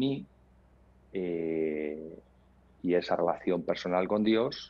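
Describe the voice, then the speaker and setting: A man's very deep, low voice at a very slow pace. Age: 50s. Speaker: entrepreneur; podcast guest. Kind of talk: interview. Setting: video call. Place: home room. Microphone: earbuds.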